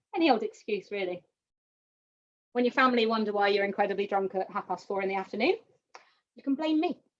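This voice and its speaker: Her tone is upbeat, with lively intonation and a medium pitch for a woman. She talks at a very fast pace but leaves long, frequent pauses. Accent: West Country. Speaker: painting instructor. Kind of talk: tutorial. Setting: live online stream. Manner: chatty, upbeat.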